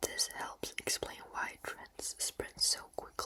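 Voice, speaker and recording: A very... no: A fairly slow whisper against noticeable background noise. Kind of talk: educational ASMR explainer. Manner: whispered; soft, slow, relaxing.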